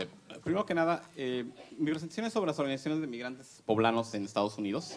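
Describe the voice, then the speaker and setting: A man talking at a very fast pace. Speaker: academic researcher. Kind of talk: conference presentation. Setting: panel with audience. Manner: halting, many fillers.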